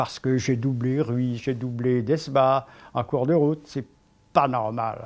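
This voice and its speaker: Against a quiet background, a man speaks at a very slow pace with fairly even intonation. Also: medium pitch for a man. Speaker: sports commentator, cycling. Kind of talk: storytelling, historical anecdote narration.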